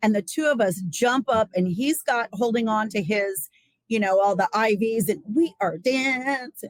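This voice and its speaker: A woman's normal speaking voice, fairly high in pitch, with lively intonation, very even loudness and a fairly slow pace, in dry, close sound with no echo. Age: 60s. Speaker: Ayurveda practitioner and psychotherapy trainee. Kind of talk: interview.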